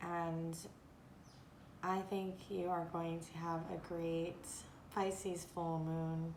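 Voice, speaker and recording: A woman with a fairly low voice speaks very slowly in a monotone, flat way, leaving long, frequent pauses, with audible room echo. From Japan and Korea in early childhood. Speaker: tarot and oracle card reader. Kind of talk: oracle card reading monologue. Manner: halting, with many fillers.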